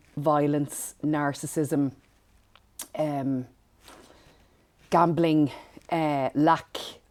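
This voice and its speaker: A woman speaks in a Dublin accent at a very deep, low pitch. Her intonation is monotone and flat, and the recording is very clean with a silent background. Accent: Dublin Irish. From Ireland, Dublin northside. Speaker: empowerment coach. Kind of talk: podcast interview.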